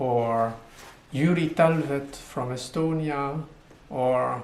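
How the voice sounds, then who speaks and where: A man speaks with a French accent. The room echo is audible. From French-speaking Switzerland. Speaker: poet. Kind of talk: video self-introduction. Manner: hesitant with fillers.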